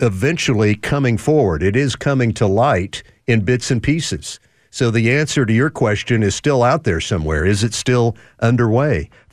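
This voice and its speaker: A man talks in a plain, everyday voice at a medium pitch and a moderate pace. His intonation is lively, and his loudness stays very even. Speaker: talk radio host. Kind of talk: call-in talk radio. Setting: studio.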